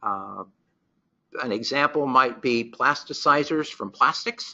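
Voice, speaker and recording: It is an ordinary speaking voice with ordinary pitch variation. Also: man. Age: 60s. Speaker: research microscopist presenting a webinar. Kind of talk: webinar presentation. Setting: webinar.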